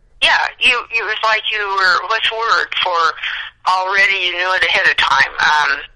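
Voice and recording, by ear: A woman's fairly low voice, bright and sharp in tone, at a moderate pace with ordinary pitch variation.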